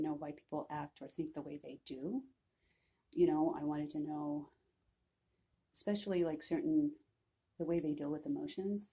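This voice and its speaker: A woman, soft-spoken, at a moderate pace. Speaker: vlogger. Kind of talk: personal vlog, mental health story. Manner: hesitant, many fillers.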